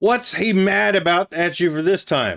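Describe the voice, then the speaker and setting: In a put-on character voice, a man sounds raspy and high-pitched, moving at a moderate pace. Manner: hushed, quiet.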